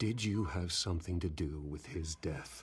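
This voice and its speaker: In a put-on character voice, a man speaks with a very deep, low pitch, an intense tone, ordinary pitch variation and a moderate pace. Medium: video game. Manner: restrained, intense.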